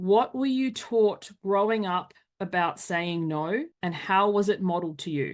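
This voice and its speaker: A woman's voice shows ordinary pitch variation over a quiet background. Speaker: life coach. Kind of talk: workshop presentation. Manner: fast; animated.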